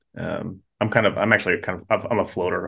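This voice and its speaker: A man at a very fast pace. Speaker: pastor and podcast co-host. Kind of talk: casual conversation. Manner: fast talker.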